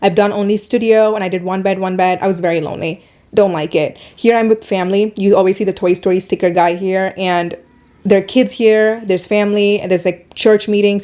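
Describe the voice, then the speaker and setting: With a Middle Eastern accent, a woman speaks at a fairly quick pace in a medium pitch with a dark, mellow tone. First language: not English. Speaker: podcast host and YouTuber. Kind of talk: casual monologue podcast. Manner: animated.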